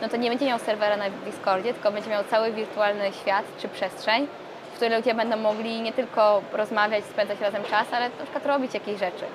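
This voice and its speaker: Through noticeable background noise, a woman with a fairly high pitch speaks at a fairly quick pace. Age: 20s. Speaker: startup co-founder. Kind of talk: interview.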